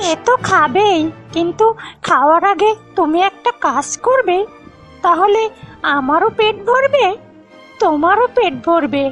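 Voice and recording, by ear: A woman performs a cartoonish character voice at an extremely high pitch, with a fairly bright tone and lively intonation. She speaks slowly over faint background music.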